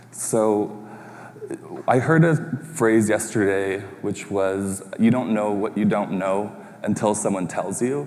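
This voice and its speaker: With a Canadian accent, the speaker talks at a very slow pace with ordinary pitch variation, and noticeable background noise can be heard. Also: man, fairly low pitch for a man. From Red Lake, Ontario, Canada (Ojibwe). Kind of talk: pitch presentation. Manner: hesitant, many fillers.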